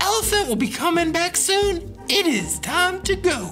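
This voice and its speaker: A man puts on a character voice with an extremely high pitch. He speaks at a moderate pace over clear music in the background. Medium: read story.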